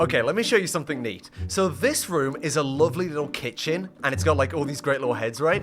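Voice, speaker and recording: Animated and very fast, a man with a fairly high pitch and vocal fry barely pauses, his pitch swinging very widely. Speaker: gaming YouTuber. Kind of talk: casual gameplay commentary. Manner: excitable, animated.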